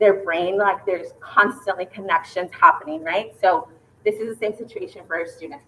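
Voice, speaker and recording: A woman's medium-pitched voice at a fairly slow pace, with fairly even intonation, big swings in loudness, and noticeable background noise. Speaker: school staff presenting to parents. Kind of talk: informational presentation.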